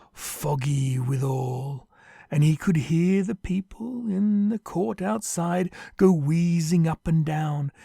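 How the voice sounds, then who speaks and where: Music plays behind a man speaking at a very slow pace with a fairly high pitch. His ordinary pitch variation comes through in a dry, close sound with no echo. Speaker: narrator. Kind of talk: audio play narration.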